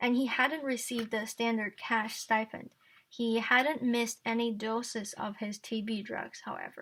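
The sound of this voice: The voice reads without strain. Its intonation is fairly level.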